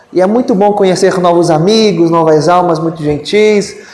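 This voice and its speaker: A man speaks at a moderate pace in a high pitch with ordinary pitch variation. Audible room echo and noticeable background noise surround him. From Brazil, interior of Amazonas (São Gabriel da Cachoeira). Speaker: spiritist lecturer. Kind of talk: lecture. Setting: spiritist centre with audience. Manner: formal.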